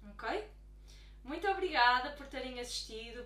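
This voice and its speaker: The speech has a European Portuguese accent and a fairly slow pace. Audible room echo and noticeable background noise come through. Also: woman. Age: 20s. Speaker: life coach. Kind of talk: YouTube talk to camera.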